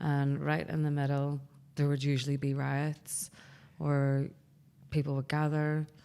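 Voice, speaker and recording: A woman with a Northern Irish accent speaks in a very deep, low voice with a dark, mellow tone, monotone, flat intonation and very even loudness. Long, frequent pauses break up her speech on a very clean recording with a silent background. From Northern Ireland, Belfast. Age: 30s. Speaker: barbershop owner. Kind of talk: casual chat.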